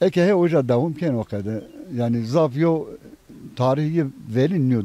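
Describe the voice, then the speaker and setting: This man has an ordinary speaking voice with a fairly high pitch. His intonation is lively, and his pace is moderate. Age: 60s. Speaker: villager, retired civil servant. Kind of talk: casual interview.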